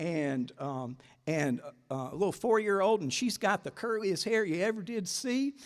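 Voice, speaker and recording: Slowing to a fairly unhurried pace, a man with a Southern US accent speaks in a high pitch that swings very widely. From US South, South Carolina (Greenwood). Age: 60s. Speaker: advocate for older people. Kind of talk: talk to a breakfast audience. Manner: conversational, many fillers and repeats.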